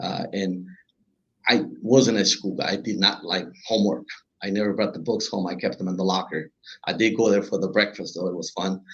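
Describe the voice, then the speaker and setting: He speaks with a Spanish accent at a fairly quick pace. This man's pitch varies in an ordinary way. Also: fairly low pitch for a man. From Honduras. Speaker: business owner. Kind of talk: interview.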